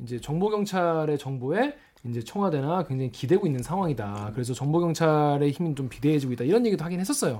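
A man's very fast, animated, playful speech, fairly high in pitch with lively intonation, in a very clean recording with a silent background. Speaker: news reporter hosting a comment-reading show. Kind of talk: casual panel chat. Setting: studio.

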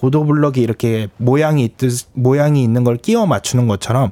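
A man's medium-pitched voice with a dark, mellow tone at a moderate pace, in a dry, close sound with no echo. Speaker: science communicator. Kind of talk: casual chat. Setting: studio.

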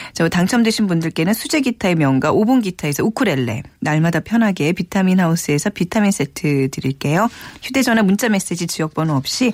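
A woman speaks at a moderate pace in a fairly low pitch. Her pitch swings very widely, and the sound is dry and close with no echo. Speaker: radio host. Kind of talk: radio show hosting. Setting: studio.

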